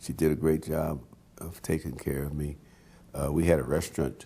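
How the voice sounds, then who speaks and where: With an American accent, this voice carries a dark, mellow tone, vocal fry and a monotone, flat intonation at a moderate pace. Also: man. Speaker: jazz pianist. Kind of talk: oral history interview. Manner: halting, many fillers and repeats.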